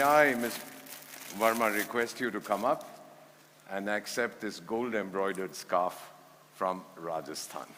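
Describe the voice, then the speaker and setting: A medium-pitched male voice with an Indian accent. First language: Hindi. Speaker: former ambassador and conference speaker. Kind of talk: conference speech.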